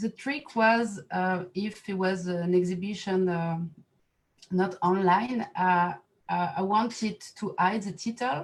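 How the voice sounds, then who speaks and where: In a French accent, a woman speaks very slowly, her voice somewhat breathy. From France. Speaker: artist and set designer. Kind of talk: artist talk at online exhibition reception. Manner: halting, many fillers.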